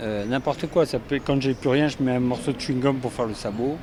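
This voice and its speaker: Fairly quick speech with ordinary pitch variation over noticeable background noise. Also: man. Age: 60s. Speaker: sculptor and artist. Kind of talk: interview. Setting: equestrian show venue. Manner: hesitant, many fillers.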